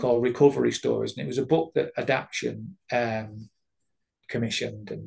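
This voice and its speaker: A man with a Mancunian accent talks at a fairly quick pace, his loudness swinging widely. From Manchester, England. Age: 50s. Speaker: addiction recovery worker and therapist. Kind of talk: interview answer.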